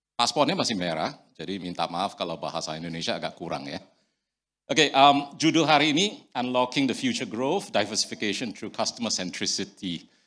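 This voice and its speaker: The recording is very clean with a silent background. A man at medium pitch talks at a fairly quick pace with very wide pitch swings. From Singapore. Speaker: company director. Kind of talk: conference presentation. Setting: stage with audience.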